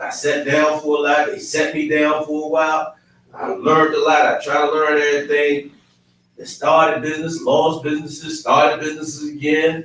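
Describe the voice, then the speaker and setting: The delivery keeps a moderate pace in a monotone, flat intonation. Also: man, fairly high pitch for a man. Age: 50s. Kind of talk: casual chat. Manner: loud.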